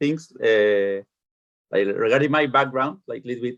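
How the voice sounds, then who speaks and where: A man with a Spanish accent, at a moderate pace. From Chile. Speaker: youth soccer coach. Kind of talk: online parents meeting.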